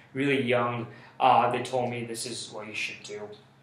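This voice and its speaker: Noticeable background noise plays under a man speaking at a moderate pace. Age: 20s. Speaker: college student. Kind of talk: interview answer.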